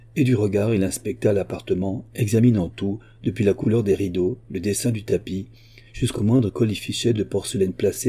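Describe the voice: Someone reads text out. It is plain reading aloud.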